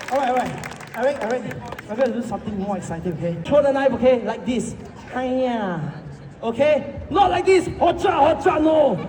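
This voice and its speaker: An animated man speaks at an extremely high pitch with very wide swings, at a fairly quick pace. Noticeable background noise and audible room echo are present. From Singapore. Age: 20s. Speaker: street performer. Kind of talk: street show patter. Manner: loud.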